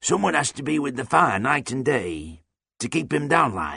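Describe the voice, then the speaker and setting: Raspy and medium-pitched, a man performs a put-on character voice. His pitch swings very widely at a moderate pace. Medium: read story. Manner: terse, folksy, chuckling.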